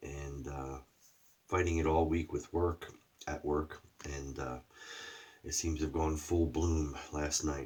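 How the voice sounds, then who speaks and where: Very slow and somewhat breathy, a man speaks in a very deep, low pitch with monotone, flat intonation and long, frequent pauses. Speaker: shaving product reviewer. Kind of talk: casual video review. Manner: throat clearing.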